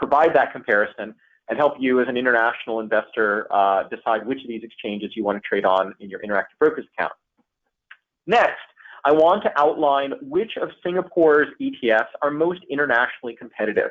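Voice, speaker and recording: A man's normal speaking voice with an American accent, medium pitch, ordinary pitch variation and a fairly quick pace. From United States. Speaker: investment advisor. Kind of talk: webinar presentation. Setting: online webinar. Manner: many fillers.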